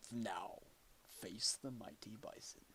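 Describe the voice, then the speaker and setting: A man in a put-on character voice, with clear background noise. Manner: menacing.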